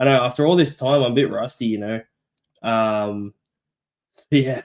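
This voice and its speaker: A man with an Australian accent at medium pitch, moderate pace and ordinary pitch variation. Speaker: sports podcast co-host. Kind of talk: casual chat. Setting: live stream.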